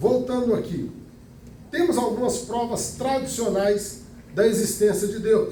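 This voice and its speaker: Against noticeable background noise and audible room echo, a man speaks in an extremely high pitch. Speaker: Bible school teacher. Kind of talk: lecture.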